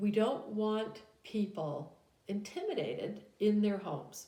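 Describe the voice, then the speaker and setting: A woman's medium-pitched voice comes with audible room echo. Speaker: business law teacher. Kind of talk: recorded lecture. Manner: hesitant with frequent fillers.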